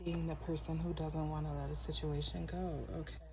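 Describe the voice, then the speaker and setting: Soft-spoken, a woman talks at a moderate pace with monotone, flat intonation. Noticeable background noise and audible room echo surround her voice. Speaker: tarot reader. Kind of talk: tarot reading.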